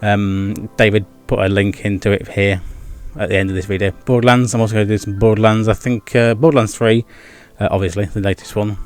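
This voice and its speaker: Over music in the background, a man with a fairly low pitch talks at a fairly quick pace with fairly even intonation. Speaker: gaming and vlog YouTuber. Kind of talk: casual vlog monologue. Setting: home with video background. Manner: fast; stumbles over words.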